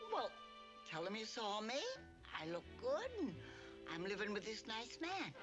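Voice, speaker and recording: Loud music plays behind a female-sounding, put-on character voice. Long, frequent pauses run through the speech. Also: moderate pace. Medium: short film. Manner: frank, gently teasing.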